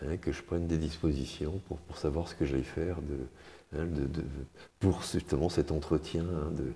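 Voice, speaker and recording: At a moderate pace, a man talks with a very deep, low pitch, a dark, mellow tone and vocal fry. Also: fairly even intonation. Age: 70s. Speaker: retiree, gym client. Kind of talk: testimony interview. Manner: halting, many hesitations.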